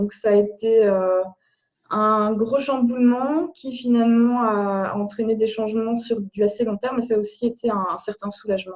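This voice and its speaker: Her pitch fairly high and her tone dark and mellow, a woman speaks at a moderate pace with fairly even intonation. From Belgium. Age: 30s. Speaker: blogger. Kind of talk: interview. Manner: halting.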